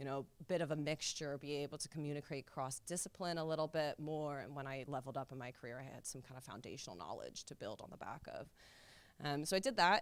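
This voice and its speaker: Talking very fast with an American accent, a woman with a very deep, low pitch shows ordinary pitch variation and big swings in loudness. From US, Seattle. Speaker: software engineer. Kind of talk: panel discussion.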